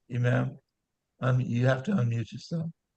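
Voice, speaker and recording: Somewhat breathy and medium in pitch, the man's voice carries lively intonation. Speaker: talk show co-host. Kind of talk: panel discussion. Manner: repetitive, halting.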